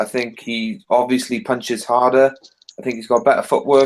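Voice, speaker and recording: In a Welsh accent, a man speaks at a moderate pace and medium pitch with monotone, flat intonation. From Wales. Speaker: boxing podcast panelist. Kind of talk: casual panel discussion.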